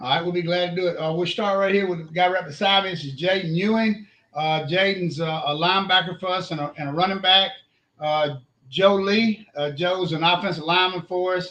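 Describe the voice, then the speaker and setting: With an Alabama accent, a high-pitched man speaks in a bright, sharp tone with fairly even intonation. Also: fairly quick pace. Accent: Southern US (Alabama). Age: 60s. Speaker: high school football coach. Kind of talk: casual interview.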